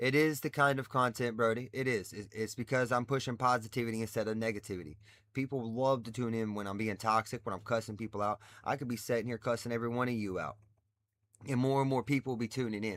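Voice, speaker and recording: On a very clean recording with a silent background, a man at a medium pitch speaks at a very fast pace. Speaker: livestreamer. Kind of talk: casual livestream chat. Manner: loud; animated.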